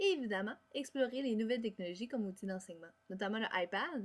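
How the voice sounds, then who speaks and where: With a Quebec accent, a woman speaks in a fairly high pitch with lively intonation. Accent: Québécois French. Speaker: music education student. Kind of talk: class presentation. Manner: fast.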